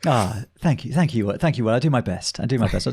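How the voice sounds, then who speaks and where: Somewhat breathy and very fast, a man speaks at medium pitch with lively intonation and very even loudness. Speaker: podcast interview guest; ultrarunner.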